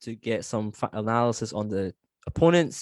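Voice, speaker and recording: A man with a Scottish accent at medium pitch and a fairly slow pace, in a very clean recording with a silent background and a dry, close sound with no echo. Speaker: football podcast host. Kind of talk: casual chat. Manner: hesitant with many fillers.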